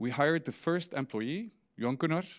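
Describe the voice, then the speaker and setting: A man with an Icelandic accent speaks at a moderate pace, his intonation lively. The recording is very clean, with a silent background. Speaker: fintech CEO. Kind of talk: conference talk. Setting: stage with audience.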